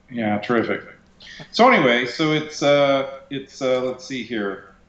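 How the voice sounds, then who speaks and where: With noticeable background noise behind him, a man talks at a fairly slow pace at a medium pitch with ordinary pitch variation. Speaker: DJ and bus restorer. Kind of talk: casual chat. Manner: loud, projecting. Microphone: echo reported.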